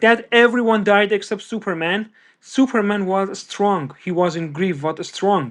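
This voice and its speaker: With a non-native accent, a man speaks at a fairly slow pace in a high voice with ordinary pitch variation against a quiet background. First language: not English. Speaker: pop culture podcast guest. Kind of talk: casual chat. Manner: halting.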